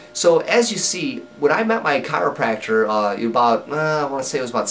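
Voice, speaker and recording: There is noticeable background noise. A man with a fairly high pitch swings very widely in pitch. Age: 30s. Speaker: person living with Crohn's disease. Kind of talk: personal story to camera. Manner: casual, conversational with fillers.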